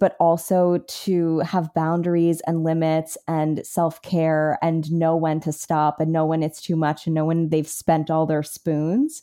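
An American-accented woman speaks at a fairly slow pace and fairly low pitch with a dark, mellow tone, in a very clean recording with a silent background. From New York City. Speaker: podcast host, actor and writer. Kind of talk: casual interview chat.

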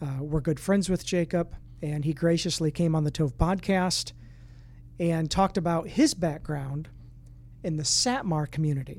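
In a normal speaking voice, a man talks with a fairly high pitch. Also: ordinary pitch variation, moderate pace. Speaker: podcast host and ministry director. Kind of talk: interview conversation.

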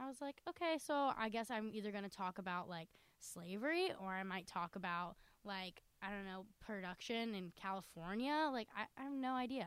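With an American accent, a woman talks at a moderate pace in a normal speaking voice, her medium pitch rising and falling with lively intonation. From North Carolina. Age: young. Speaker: college student podcast co-host. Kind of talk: casual chat.

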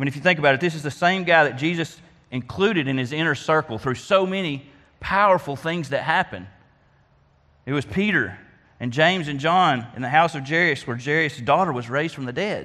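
In an Arkansas accent, a man talks at a fairly quick pace. His fairly high voice has a bright, sharp tone and ordinary pitch variation. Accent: US Southern (Arkansas). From Arkansas (Faulkner County). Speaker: lay preacher at a church. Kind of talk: sermon.

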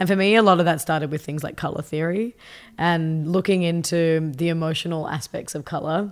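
In a very clean recording with a silent background, a woman with an Australian accent talks at a fairly quick pace. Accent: Australian, noticeable. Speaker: tech company CEO and designer. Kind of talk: casual interview.

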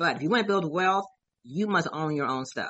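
Ordinary pitch variation marks an unremarkable speaking voice. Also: woman. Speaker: event organizer and life insurance advocate. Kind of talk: radio interview.

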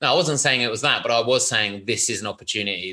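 Against a quiet background, a man with a British accent talks at a fairly quick pace. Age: 40s. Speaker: record label executive. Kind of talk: interview.

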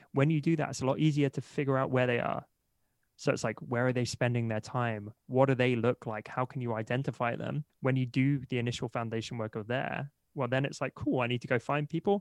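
Over a quiet background, a man with a normal speaking voice and a medium pitch talks at a fairly quick pace with fairly even intonation, in a dry, close sound with no echo. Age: 30s. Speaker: entrepreneur and marketer. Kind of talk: interview.

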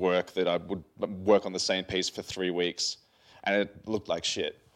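A man with very deep, low pitch, flat monotone delivery and a fairly quick pace. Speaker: digital artist. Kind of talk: live interview conversation.

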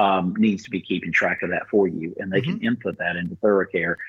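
A man speaks at a fairly quick pace. His voice is very deep and low. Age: 60s. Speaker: physician practice owner and co-host. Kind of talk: casual chat.

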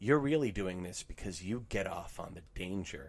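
A man with a Pennsylvania accent, at a fairly low pitch and moderate pace, with lively intonation. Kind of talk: casual chat.

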